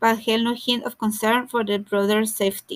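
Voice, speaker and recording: With a Mexican accent and a fairly high pitch, a woman speaks at a moderate pace on a very clean recording with a silent background. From Mexico. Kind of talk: audiobook reading.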